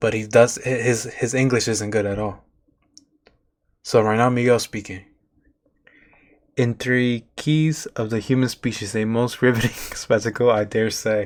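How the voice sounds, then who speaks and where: Speaking at a fairly slow pace with a non-native accent, a man of medium pitch keeps a monotone, flat intonation and leaves long, frequent pauses, captured in a very clean recording with a silent background. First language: not English. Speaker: streamer reacting to videos. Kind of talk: live stream reaction commentary. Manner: halting, repeats words.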